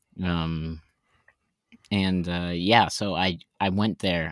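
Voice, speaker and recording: A man with an American accent talks at a fairly slow pace in a very deep, low pitch. His intonation is monotone and flat, and the recording is very clean with a silent background. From Texas. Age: 20s. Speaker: professional juggler. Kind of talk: casual chat.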